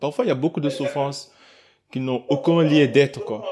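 A man talks with fairly even intonation. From Senegal, Kaolack. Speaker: podcast host. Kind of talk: podcast interview. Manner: stammering repetitions.

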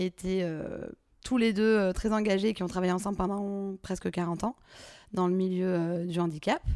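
On a very clean recording with a silent background, a woman has a medium pitch, a dark, mellow tone and ordinary pitch variation. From Provence, southern France (Drôme provençale). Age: 30s. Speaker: entrepreneur. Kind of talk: interview. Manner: casual, hesitant with many fillers.

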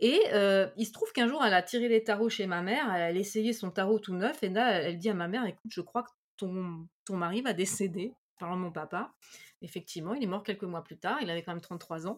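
Recorded very cleanly against a silent background, a woman with an ordinary speaking voice talks at a fairly quick pace with medium pitch and ordinary pitch variation. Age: 40s. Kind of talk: casual chat.

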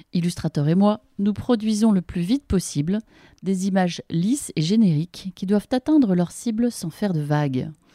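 This woman's voice sits at a medium pitch, with lively intonation, a somewhat breathy, dark and mellow tone, and a dry, close sound with no echo. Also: moderate pace. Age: 40s. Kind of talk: reading aloud from her book; interview conversation.

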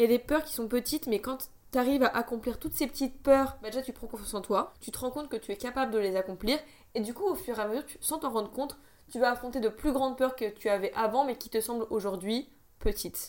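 A woman talks at a very fast pace. Her voice is high-pitched, with ordinary pitch variation. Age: 20s. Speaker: podcaster. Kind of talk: casual monologue. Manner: animated.

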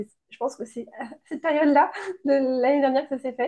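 Speaking at a fairly quick pace, a woman uses a high pitch and a dark, mellow tone. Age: 30s. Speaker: entrepreneur, founder of a baby shower decoration brand. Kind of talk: interview testimony.

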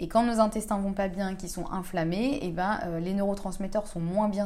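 A woman at a moderate pace with a dark, mellow tone and medium pitch, in audible room echo. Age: 30s. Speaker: podcast host on gut health. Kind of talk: casual solo monologue. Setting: at home. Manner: hesitant, many fillers.

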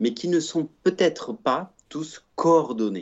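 A man at a very slow pace with lively intonation. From Provence, southern France. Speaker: think tank director, former sports lawyer. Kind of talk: podcast interview.

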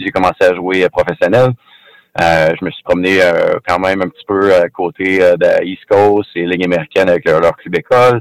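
A man with a Quebec accent speaks in a very deep, low voice. His pace is fairly slow, with ordinary pitch variation. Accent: Québécois French. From Quebec, Rimouski. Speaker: former pro hockey player. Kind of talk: interview. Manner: halting, repeats words.

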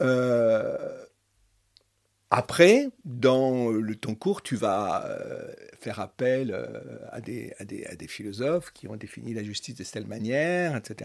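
The speech moves at a very slow pace with long, frequent pauses. Intonation is lively, and loudness swings widely. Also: man, medium pitch for a man. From Paris region, France. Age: 70s. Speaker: retired philosophy teacher. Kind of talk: interview conversation.

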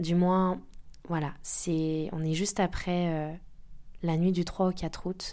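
A woman speaks at a very slow pace, leaving long, frequent pauses. Her voice is fairly low in pitch with a dark, mellow tone and monotone, flat intonation. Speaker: life coach and podcast host. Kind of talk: personal testimony monologue. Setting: indoor home office. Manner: hesitant, many fillers.

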